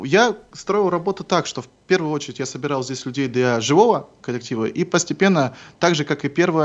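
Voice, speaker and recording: A normal speaking voice moves at a fairly quick pace with lively intonation over a quiet background. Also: man. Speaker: rock musician. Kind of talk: radio interview. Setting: Skype call.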